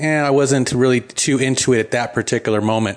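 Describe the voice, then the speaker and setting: At a fairly quick pace, a man talks in an ordinary speaking voice with medium pitch and fairly even intonation. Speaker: software architect. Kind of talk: recorded voice memo.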